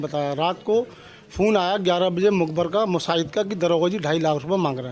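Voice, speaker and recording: A man talks at a moderate pace. His pitch is high. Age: 70s. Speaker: complainant. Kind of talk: testimony.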